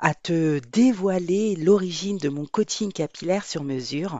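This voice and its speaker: A woman at a very slow pace. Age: 50s. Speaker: podcast host, hair coach. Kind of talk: personal storytelling monologue. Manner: conversational, with hesitations.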